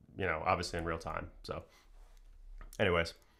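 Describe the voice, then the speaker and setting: A man's bright, sharp tone on a very clean recording with a silent background. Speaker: tech YouTuber. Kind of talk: live stream chat. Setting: live stream. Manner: fast.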